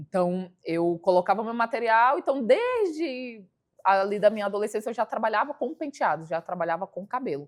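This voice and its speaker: Using a plain, everyday voice, a woman speaks fairly high at a moderate pace with lively intonation. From Brasília, Brazil (satellite city). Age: 30s. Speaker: hairstylist and entrepreneur.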